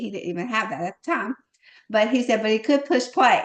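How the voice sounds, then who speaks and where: With a Southern US accent, a woman talks at a very fast pace in an animated tone with lively intonation. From US South. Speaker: network marketing team leader. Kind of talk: live online team call. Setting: video call.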